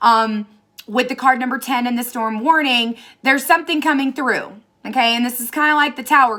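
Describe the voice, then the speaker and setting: Speaking in an American accent, a woman has a high pitch, ordinary pitch variation and a moderate pace. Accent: Southern US accent, comes out at times. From Tennessee. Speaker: tarot reader. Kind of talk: tarot reading monologue. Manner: casual, chatty.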